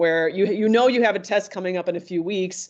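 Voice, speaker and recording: A woman at a medium pitch, very fast pace and ordinary pitch variation, with a quiet background. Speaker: tutoring center staff presenter; presenter. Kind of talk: online workshop presentation. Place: home room. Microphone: video call.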